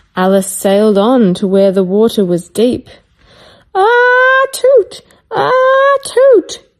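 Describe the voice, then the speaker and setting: Delivery comes at a very slow pace. Loudness stays very even throughout. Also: woman. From Australia. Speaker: children's story reader. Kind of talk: reading aloud.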